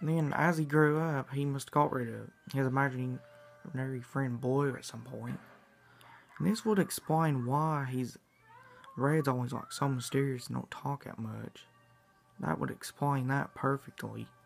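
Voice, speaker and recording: Faint music plays in the background as a man talks at a moderate pace, with ordinary pitch variation. He leaves long, frequent pauses. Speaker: vlogger. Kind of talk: casual vlog chat, fan theory. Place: home room. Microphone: phone near.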